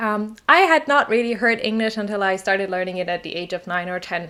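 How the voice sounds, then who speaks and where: A woman with a German accent talks at a moderate pace in a bright, sharp tone. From southern Germany, small village. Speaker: English teacher. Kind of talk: personal story vlog.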